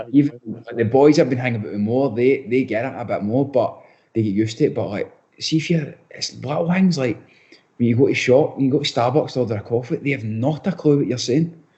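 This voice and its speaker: Speaking at a very fast pace with a strong Scottish accent, a man's medium-pitched voice comes across somewhat breathy. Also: ordinary pitch variation. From Scotland, Bellshill area. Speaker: professional footballer. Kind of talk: podcast interview. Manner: halting, many restarts.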